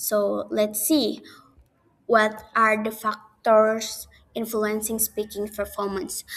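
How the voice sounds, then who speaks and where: A woman speaks very slowly with an Indonesian accent. Her pitch sits fairly high. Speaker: university student. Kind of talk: class presentation video. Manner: halting.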